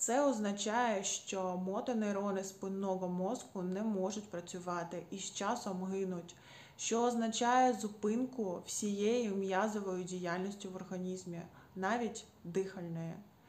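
With fairly even intonation, a woman talks at a fairly slow pace. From Ukraine. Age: 30s. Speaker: patient advocate. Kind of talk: personal testimony. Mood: earnest, calm, grateful. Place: home room. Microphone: phone near.

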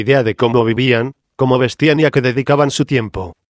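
In a dry, close sound with no echo, a man with an unremarkable speaking voice talks at a moderate pace and medium pitch. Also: quiet background. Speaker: documentary narrator. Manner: formal, measured, informative.

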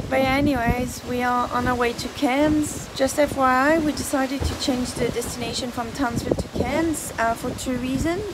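Loud background noise runs behind speech delivered at a moderate pace. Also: woman. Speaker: sailor vlogger. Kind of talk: casual vlog chat. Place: boat. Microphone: phone near.

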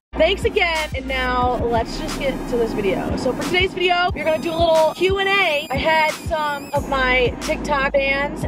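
Clear music plays behind a woman speaking at a fairly slow pace. Her pitch variation is ordinary and the sound is dry, with no echo. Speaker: vlogger. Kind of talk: casual vlog chat. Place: car. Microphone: phone near.

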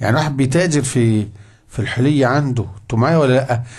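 Somewhat breathy speech in an Egyptian accent at a fairly quick pace, against a quiet background. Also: man. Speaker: Islamic scholar teaching a fiqh book; religious teacher. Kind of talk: religious lesson. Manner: conversational, asks audience questions. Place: classroom. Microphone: studio mic.

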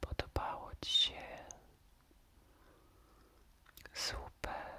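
Whispering at a very slow pace, a man speaks in a gentle tone. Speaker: storyteller. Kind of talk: whispered bedtime story, ASMR style. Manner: gentle, caring close whisper. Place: home room.

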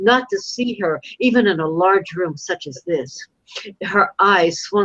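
A quiet background behind plain reading aloud full of lively intonation.

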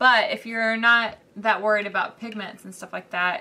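Against noticeable background noise, a woman with an American accent speaks with fairly even intonation. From US South. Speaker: art YouTuber. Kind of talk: tutorial. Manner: casual, with many fillers.

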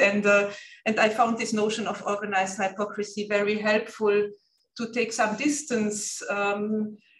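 A woman speaks at a moderate pace with fairly even intonation amid audible room echo. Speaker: guest lecturer. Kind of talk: lecture. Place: meeting room. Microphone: camera far.

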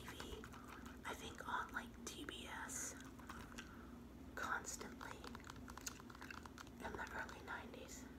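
The speaker whispers, soft-spoken, at a fairly slow pace. Loud background noise runs underneath. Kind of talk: casual collection review chat. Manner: soft ASMR whisper. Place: home room. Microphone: phone near.

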